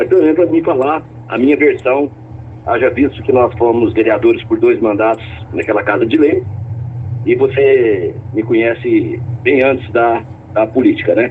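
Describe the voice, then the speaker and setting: A man's voice holds a very even loudness, broken by long, frequent pauses, with noticeable background noise behind it. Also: moderate pace. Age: 60s. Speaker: politician. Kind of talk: radio interview.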